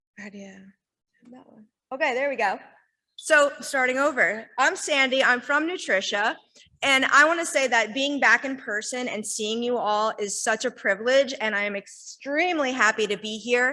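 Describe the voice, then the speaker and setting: A loud woman speaks at a high pitch with a bright, sharp tone. Her pace is moderate and her pitch variation ordinary. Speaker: industry representative. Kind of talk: sponsor presentation.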